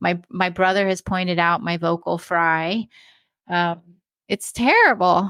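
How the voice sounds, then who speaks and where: In an American accent, a woman speaks at a fairly slow pace. Her pitch is fairly low, and her tone is bright and sharp. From US West Coast. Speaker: retired criminal profiler, podcaster. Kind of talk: live podcast interview. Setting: live stream with chat. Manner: disfluent, uses fillers.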